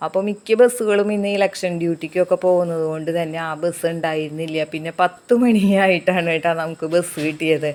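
A woman uses a normal speaking voice, fairly low in pitch, with fairly even intonation. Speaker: village life vlogger. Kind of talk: vlog narration.

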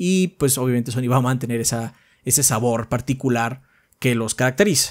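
Fairly quick male speech against a quiet background. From Mexico. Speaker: gaming podcast co-host. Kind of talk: casual chat. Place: home room. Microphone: studio mic.

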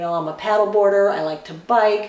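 Audible room echo carries a woman's medium-pitched voice at a fairly quick pace. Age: 50s. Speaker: beauty YouTuber. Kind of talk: tutorial. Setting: home bathroom. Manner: animated. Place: bathroom.

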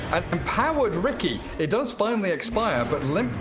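A man is speaking. His tone is animated. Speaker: esports commentator. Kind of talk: live esports commentary. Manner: fast, animated play-by-play; excitable, laughs mid-call.

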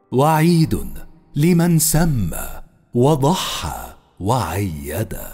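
A man speaks at a very slow pace with very wide pitch swings. Music plays in the background. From Egypt. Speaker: voice actor. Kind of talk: poetry reading. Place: studio. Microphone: studio mic.

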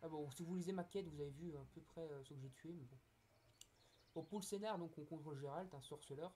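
A man's fairly high, somewhat breathy voice with a dark, mellow tone, ordinary pitch variation and a fairly quick pace. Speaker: gaming youtuber. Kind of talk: gameplay commentary. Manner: hesitant, many fillers. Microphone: poor recording quality.

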